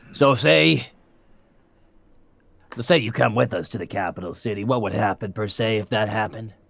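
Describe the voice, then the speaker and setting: A man puts on a raspy character voice with fairly low pitch and lively intonation. He keeps a moderate pace but pauses long and often. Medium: actual play. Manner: rambling, casual, salesman-like.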